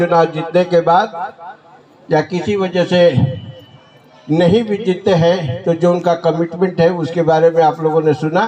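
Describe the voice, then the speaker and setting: Over noticeable background noise, a man speaks in a monotone, flat intonation at a high pitch. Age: 70s. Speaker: party leader, politician. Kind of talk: political speech. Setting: public event, office inauguration. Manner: forceful, emphatic.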